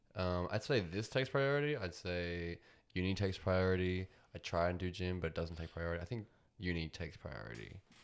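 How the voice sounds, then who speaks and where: A man's very deep, low voice in an Australian accent, fairly quick and lively in intonation, on a very clean recording with a silent background. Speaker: podcast host. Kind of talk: casual chat.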